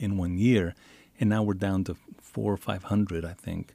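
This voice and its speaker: Fairly low in pitch, this man has a dark, mellow tone and speaks with an American accent at a moderate pace. His intonation is fairly even, and the sound is dry and close with no echo. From El Paso, Texas border region. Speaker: author and writing teacher. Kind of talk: radio interview.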